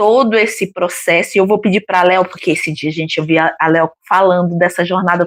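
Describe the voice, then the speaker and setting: A woman with a normal speaking voice, ordinary pitch variation and a moderate pace. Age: 50s. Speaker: retired co-host. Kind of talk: casual book discussion live stream.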